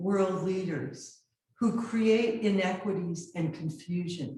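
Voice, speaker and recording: Very slowly and somewhat breathily, a woman speaks at a medium pitch with a dark, mellow tone and ordinary pitch variation. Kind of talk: live lecture presentation. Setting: video call.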